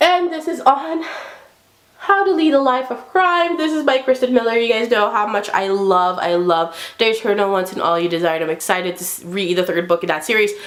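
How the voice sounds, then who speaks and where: A fairly high-pitched woman's voice at a fairly quick pace with very wide pitch swings, amid noticeable background noise. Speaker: book reviewer. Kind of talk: casual vlog review. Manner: hyper.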